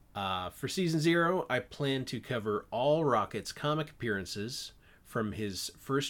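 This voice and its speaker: A man with a plain, everyday voice and lively intonation at a moderate pace, on a very clean recording with a silent background. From Canada. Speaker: podcast host and animator. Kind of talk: solo podcast monologue about comics. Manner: casual, filler-heavy.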